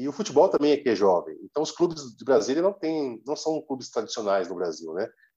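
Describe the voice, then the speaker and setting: Fairly high for a man, this voice has a dark, mellow tone with vocal fry and very wide pitch swings. He moves at a fairly quick pace with hardly any pauses and big swings in loudness. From Brazil. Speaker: football social media page creator. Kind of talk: casual interview chat.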